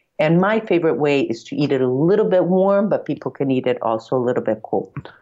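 This woman has a very deep, low pitch, lively intonation and an American accent. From US Northeast, Andover near Boston. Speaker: tour guide and former TV journalist. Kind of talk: casual interview.

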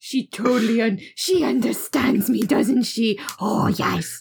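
A female-sounding, put-on character voice speaks at a very slow pace with a fairly high pitch. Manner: cooing, sweet.

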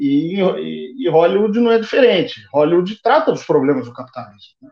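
A man at a moderate pace, with very wide swings in pitch. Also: hardly any pauses, big swings in loudness. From Brazil, São Paulo. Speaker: historian. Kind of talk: podcast interview.

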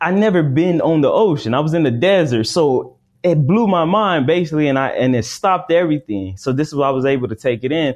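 With an American accent, the speaker uses an ordinary speaking voice at a fairly quick pace with lively intonation. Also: man. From Arizona, US. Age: 30s. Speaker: spiritual teacher. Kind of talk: interview.

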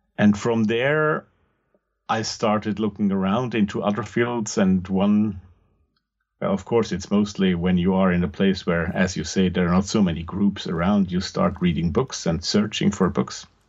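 A man's fairly low voice with an Austrian accent, very even in loudness, ordinary in pitch variation, at a moderate pace. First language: German. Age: 50s. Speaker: podcast host and occult practitioner. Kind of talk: interview conversation.

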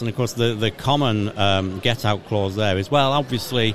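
Amid noticeable background noise, a man with a fairly low pitch and ordinary pitch variation speaks at a fairly quick pace. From England. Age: 50s. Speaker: creation ministry speaker. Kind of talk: casual interview. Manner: halting.

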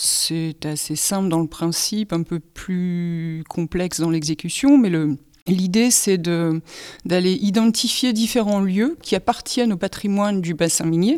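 A woman's medium-pitched voice at a very slow pace, with ordinary pitch variation. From northern France, Pas-de-Calais mining basin. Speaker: visual artist and sound creator. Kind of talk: interview testimony.

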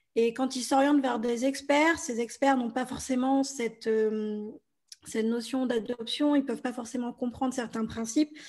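The recording is very clean, with a silent background. A woman speaks at a high pitch with fairly even intonation. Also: moderate pace. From France. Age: 30s. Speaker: blogger and podcaster. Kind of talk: interview.

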